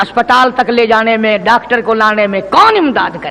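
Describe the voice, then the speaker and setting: Raising and projecting his voice, a man speaks in a passionate tone at an extremely high pitch with fairly even intonation, over noticeable background noise. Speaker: Islamic preacher (qari). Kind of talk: Islamic sermon (taqreer / bayan). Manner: passionate, oratorical, emphatic, addressing the audience directly.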